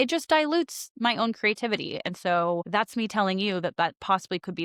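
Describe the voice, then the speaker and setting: The recording is very clean with a silent background and a dry, close sound with no echo as a woman talks at a fairly quick pace. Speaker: podcast host, esthetician educator. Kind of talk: solo podcast monologue. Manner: fast.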